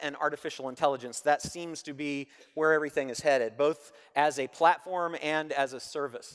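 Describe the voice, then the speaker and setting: A man speaks at a fairly high pitch with fairly even intonation. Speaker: conference speaker on Amazon selling. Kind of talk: conference presentation. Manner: fast.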